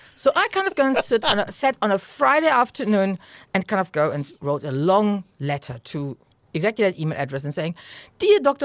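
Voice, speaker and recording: A very fast woman's voice at medium pitch, with very wide pitch swings and a dry, close sound with no echo. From Germany. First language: German. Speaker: venture capital investor. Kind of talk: interview. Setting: podcast recording.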